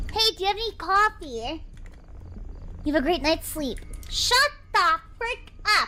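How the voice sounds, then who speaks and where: A woman's raised, projected voice at an extremely high pitch with very wide pitch swings, fairly slow with long, frequent pauses, over noticeable background noise. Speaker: gaming and animation streamer. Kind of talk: live-stream gameplay chat. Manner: animated.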